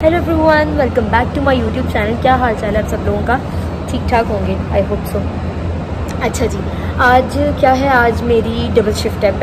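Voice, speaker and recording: A woman talks at a moderate pace. Loud background noise runs beneath her. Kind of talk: casual vlog chat.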